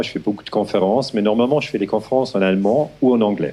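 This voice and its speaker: This man's voice sits at a fairly low pitch. He speaks with a Swiss German accent. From Switzerland, German-speaking. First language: Swiss German (speaking French). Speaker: historian. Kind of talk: lecture. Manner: slow, halting with hesitations.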